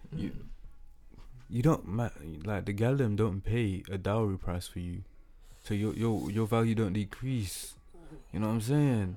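A man with a fairly low voice at a fairly slow pace, with long, frequent pauses and music in the background. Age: 20s. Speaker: podcast host. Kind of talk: casual banter podcast chat. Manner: monotone.

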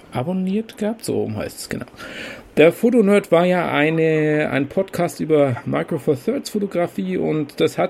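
A man talks fairly slowly with lively intonation, noticeable background noise behind him. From Bavaria, Kempten im Allgäu. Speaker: podcast host, hobby photographer. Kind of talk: casual chat.

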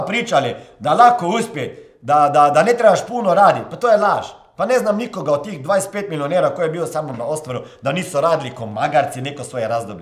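Audible room echo surrounds this voice. The pace is fairly quick, with very wide swings in pitch. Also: man. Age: 40s. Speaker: motivational coach and podcast host. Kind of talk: motivational monologue.

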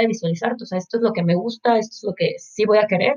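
A woman speaks in a Mexican accent at a fairly high pitch. Her pace is fairly quick. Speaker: marketing professional, university student. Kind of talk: casual interview chat.

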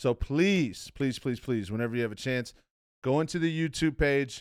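This very clean recording with a silent background features a man in an animated tone. He keeps a moderate pace with ordinary pitch variation. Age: 20s. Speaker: podcast host. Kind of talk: show intro and sponsor read; casual interview chat.

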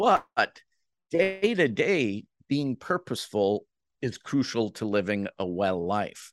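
Very wide pitch swings come through at a very slow pace, in a dry, close sound with no echo and a quiet background. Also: man, medium pitch for a man. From Jamaica. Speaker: CEO of a professional association on active aging. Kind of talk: interview. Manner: frequent fillers and restarts.

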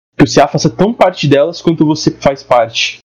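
With a normal speaking voice and ordinary pitch variation, a man talks at a moderate pace. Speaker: university student, podcast host. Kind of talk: casual chat.

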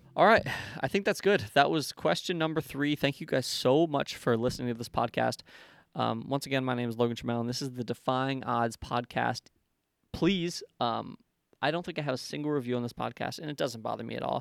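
A man's medium-pitched, unremarkable speaking voice, fairly quick, with ordinary pitch variation, in a very clean, dry, close recording with no echo and a silent background. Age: 20s. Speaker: podcast host, business owner. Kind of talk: solo monologue, Q&A podcast. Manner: casual, many filler words.

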